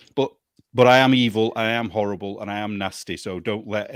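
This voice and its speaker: In a British accent, a man talks at a moderate pace with fairly low pitch and fairly even intonation. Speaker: magazine editor. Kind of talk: casual chat.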